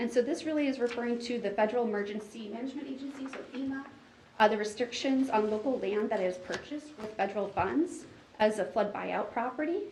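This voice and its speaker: Over noticeable background noise and audible room echo, a woman speaks very fast at a fairly high pitch with ordinary pitch variation. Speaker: watershed district staff presenter. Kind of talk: meeting presentation. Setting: board meeting.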